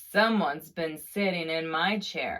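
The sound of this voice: A put-on character voice moves at a moderate pace and sits at a middle pitch.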